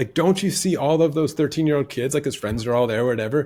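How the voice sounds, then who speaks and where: In an American accent, a man speaks with lively intonation and a fairly high pitch, his voice somewhat breathy. The recording is very clean, with a silent background. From United States. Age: 40s. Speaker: podcast guest. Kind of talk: casual interview conversation. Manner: hesitant, with false starts.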